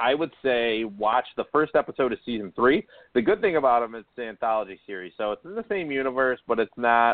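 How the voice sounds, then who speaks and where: A man is speaking. His pace is fairly quick. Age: 30s. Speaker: sports podcast host. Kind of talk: casual chat.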